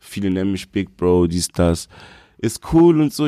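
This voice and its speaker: Dark, mellow tone with lively intonation at a moderate pace, in a very clean recording against a silent background. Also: man. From Berlin (Moabit). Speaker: rapper and producer. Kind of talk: casual interview.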